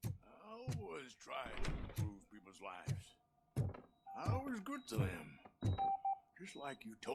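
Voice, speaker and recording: Pausing long and often, a man puts on a character voice and talks at a fairly slow pace. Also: medium pitch for a man. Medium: video game. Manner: soft, fatherly.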